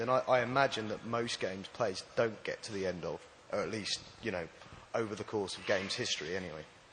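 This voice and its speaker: A man talks at a very fast pace with a medium pitch and ordinary pitch variation. Noticeable background noise runs underneath. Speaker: audience member asking a question. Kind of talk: audience question. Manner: soft-spoken.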